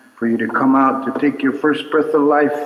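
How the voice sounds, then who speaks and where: There is noticeable background noise and audible room echo as a man talks. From Navajo Nation, US Southwest. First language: Navajo. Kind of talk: cultural teaching talk at a concert. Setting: stage with audience at a mission.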